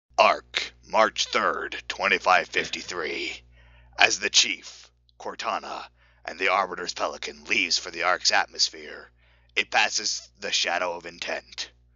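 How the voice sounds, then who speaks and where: A man's loudness swings widely as he talks at a medium speed. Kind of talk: mock-epic fan-fiction reading. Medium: read story. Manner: wry, faux-serious.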